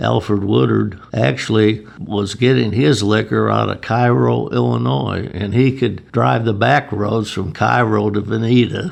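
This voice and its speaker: With an American accent and hardly any pauses, a man with a fairly low pitch moves at a fairly slow pace through very wide pitch swings over noticeable background noise. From Chicago. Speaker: retired beer distributor. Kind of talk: oral history interview answer.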